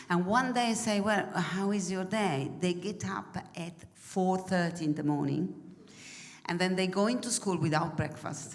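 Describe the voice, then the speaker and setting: A woman in an Italian accent, fairly low-pitched with ordinary pitch variation, at a moderate pace in audible room echo. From Italy. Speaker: mission trip member. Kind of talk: church presentation. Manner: halting.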